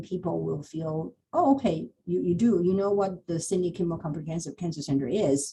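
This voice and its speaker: This woman's voice has a dark, mellow tone and fairly low pitch. It is somewhat breathy. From Taiwan. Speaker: cancer center hiring manager. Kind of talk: panel Q&A. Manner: halting.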